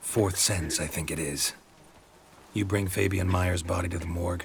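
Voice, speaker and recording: A man at a moderate pace puts on a character voice with a very deep, low pitch. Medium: video game. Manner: terse, dry, clipped.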